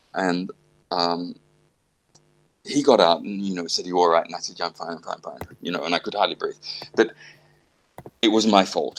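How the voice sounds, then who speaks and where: Speaking with an Australian accent, a man keeps a fairly quick pace. He leaves long, frequent pauses. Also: big swings in loudness. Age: 60s. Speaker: classical pianist. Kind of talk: casual chat.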